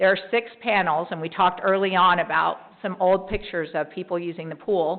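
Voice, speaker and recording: In a flat monotone, a woman speaks at a fairly quick pace with a fairly low pitch. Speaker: mayor. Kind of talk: city council meeting report. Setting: council chamber meeting. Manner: fast.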